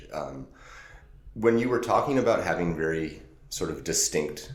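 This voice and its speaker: Vocal fry marks this man's speech, which has ordinary pitch variation. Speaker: podcast host. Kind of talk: casual interview talk.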